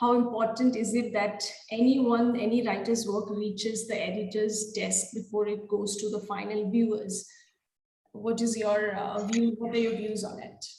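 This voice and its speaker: A woman speaks at a fairly high pitch with a non-native accent. Her intonation is monotone and flat, and room echo is audible. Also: moderate pace. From India, Siliguri. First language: not English. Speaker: interviewer, freelance writer. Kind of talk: interview.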